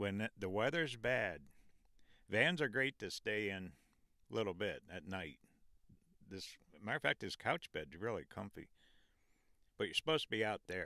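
With a fairly low pitch and a moderate pace, a man speaks with long, frequent pauses on a dry recording with no echo. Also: quiet background. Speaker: travel vlogger. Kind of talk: casual vlog chat. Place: car. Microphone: handheld.

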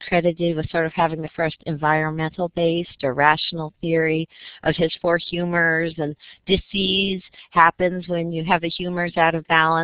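A woman's fairly low, monotone voice with flat intonation at a moderate pace, in a dry sound with no echo over a quiet background. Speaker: public health professor. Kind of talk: academic lecture presentation. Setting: online video seminar. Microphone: video call.

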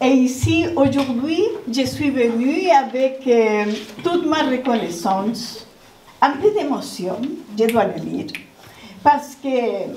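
A woman speaks at a very slow pace in a high pitch. Audible room echo and light background noise surround her voice. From Chile. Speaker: visual artist. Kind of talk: panel testimony. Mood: grateful, a little emotional. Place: hall.

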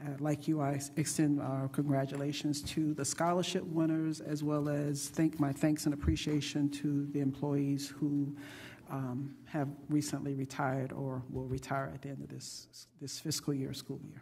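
A woman with a very deep, low pitch and a dark, mellow tone speaks at a moderate pace in a monotone, flat intonation, with hardly any pauses and big swings in loudness. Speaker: school board chair. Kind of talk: chairing a public board meeting. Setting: auditorium with public audience. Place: meeting room. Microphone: podium.

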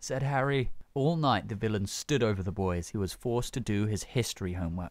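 The passage is plain reading aloud, delivered with lively intonation.

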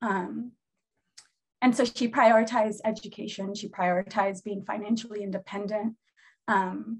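Somewhat breathy and with an American accent, the voice moves at a moderate pace in a monotone, flat intonation. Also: woman. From Seattle, US Pacific Northwest. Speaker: therapist and healer. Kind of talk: casual chat.

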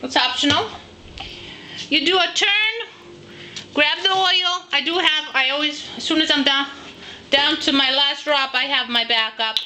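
A raised, projected voice with lively intonation moves at a fairly slow pace with long, frequent pauses over light background noise. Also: woman, high pitch for a woman. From Greek heritage. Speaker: home cooking video host. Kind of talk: cooking tutorial. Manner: casual, chatty. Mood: warm, playful. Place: kitchen. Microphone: phone near.

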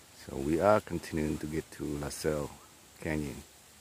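A man speaks at a moderate pace in a very deep, low voice with fairly even intonation over light background noise. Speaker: hiker vlogger. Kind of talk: casual vlog chat. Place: forest. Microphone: phone near.

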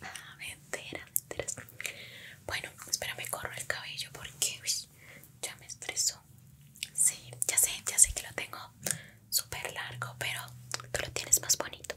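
A woman's whisper at a fairly slow pace, with long, frequent pauses. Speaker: roleplay host as a schoolmate. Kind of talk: ASMR roleplay chat. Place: home room. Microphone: studio mic.

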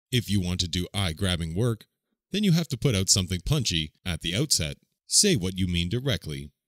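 Very clean, dry and close recording of a man with a very deep, low pitch, fairly quick pace and lively intonation, silent background with no echo. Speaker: narrator. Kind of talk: language-learning phrase reading.

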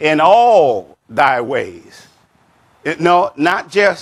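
A man talks with a high pitch. His intonation is lively. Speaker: pastor. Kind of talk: sermon. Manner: unhurried. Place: church. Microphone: lapel.

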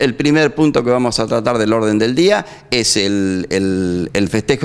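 Lively in intonation, a man speaks at a medium pitch and a moderate pace. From Argentina. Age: 60s. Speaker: neighbourhood association president. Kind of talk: street interview. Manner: halting. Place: studio. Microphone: handheld.

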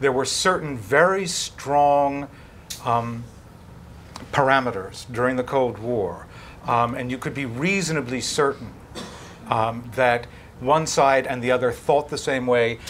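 A man with an American accent speaks at a fairly slow pace. His pitch varies in an ordinary way, over light background noise. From United States. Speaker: foreign correspondent. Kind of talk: panel discussion. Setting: stage with audience. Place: hall.

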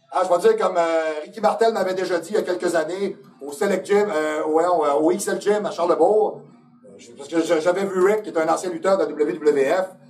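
With a Quebec accent, a man speaks in a high pitch at a moderate pace with fairly even intonation over light background noise. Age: 50s. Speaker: fitness coach and video host; fitness coach, video host. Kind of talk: casual talk show monologue. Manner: direct, opinionated. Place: studio.

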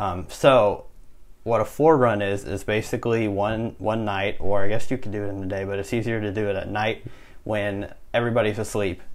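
A man with a normal speaking voice talks at a moderate pace, his intonation fairly even. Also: fairly low pitch for a man. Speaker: college student podcast host. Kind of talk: casual chat. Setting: dorm room.

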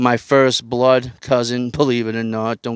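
Speaking with a Boston accent, a man uses a medium pitch at a fairly slow pace, his sound dry and close with no echo. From Boston, South Boston. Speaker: online show host, ex-prisoner. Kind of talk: casual solo livestream monologue. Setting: live stream with lapel mics. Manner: animated.

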